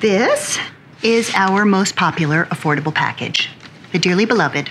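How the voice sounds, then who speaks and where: A woman talks at a moderate pace. Light background noise runs underneath. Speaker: funeral home salesperson. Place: home room.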